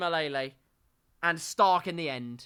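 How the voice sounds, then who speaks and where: Recorded very cleanly against a silent background, a man with an English accent speaks at a fairly slow pace in a bright, sharp tone with ordinary pitch variation. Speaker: sim racing league commentator. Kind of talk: live commentary. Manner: animated.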